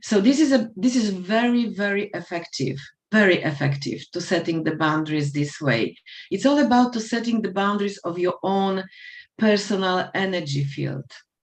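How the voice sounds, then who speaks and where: With a non-native accent, a woman speaks at a medium pitch and a moderate pace, her pitch swinging very widely. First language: not English. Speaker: life coach. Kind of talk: panel discussion. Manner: halting.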